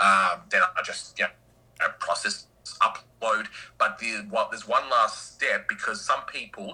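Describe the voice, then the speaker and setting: A man with an Australian accent at a fairly slow pace. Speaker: YouTuber and stay-at-home dad. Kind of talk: casual chat.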